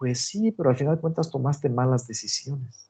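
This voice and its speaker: A dark, mellow tone at a moderate pace. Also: man. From Mexico, Guanajuato. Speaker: agronomy professor. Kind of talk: online lecture.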